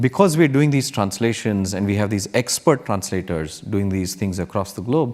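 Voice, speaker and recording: A man with a Kannada accent, fairly low-pitched, with lively intonation at a moderate pace and hardly any pauses, on a very clean recording with a silent background. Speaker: tech entrepreneur. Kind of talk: panel Q&A.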